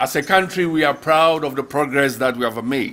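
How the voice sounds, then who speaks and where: The speaker is a man. His voice rises and falls with ordinary pitch variation. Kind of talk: formal speech. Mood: warm, proud. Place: hall. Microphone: podium.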